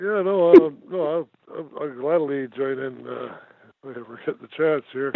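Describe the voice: Putting on a character voice, a man mumbles at a moderate pace in a fairly high pitch.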